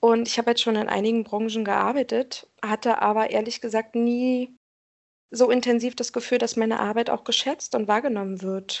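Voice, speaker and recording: The woman's fairly high pitch stays monotone and flat as she talks at a moderate pace. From Berlin, Germany. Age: 30s. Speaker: pharmacy commercial assistant. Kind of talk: interview.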